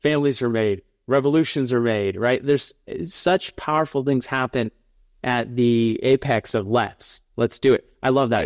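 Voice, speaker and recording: Pitch varies in an ordinary way as a man talks at a moderate rate. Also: quiet background. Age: 30s. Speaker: podcast host. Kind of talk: interview. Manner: animated. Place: office. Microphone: lapel.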